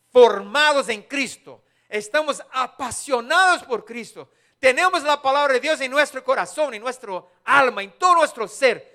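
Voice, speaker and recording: Fairly slow speech with a strong non-native accent. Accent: strong foreign accent in Spanish. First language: not Spanish (speaking Spanish). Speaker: preacher. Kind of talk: sermon. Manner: halting.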